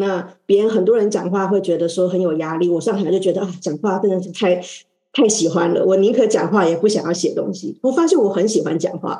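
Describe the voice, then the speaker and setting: A woman talks in a normal speaking voice at a medium pitch. Her pace is fairly quick. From Taiwan. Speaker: oceanographer and energy consultant. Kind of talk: panel talk.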